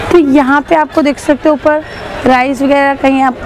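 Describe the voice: At a moderate pace, a woman with a high pitch and fairly even intonation speaks over faint background noise and faint crowd noise in the background.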